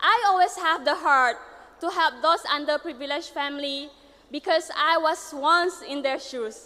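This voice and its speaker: A woman speaks in a raised, projected voice at extremely high pitch, with ordinary pitch variation. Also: moderate pace. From Sarawak, Malaysia. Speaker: pageant contestant. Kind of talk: prepared speech.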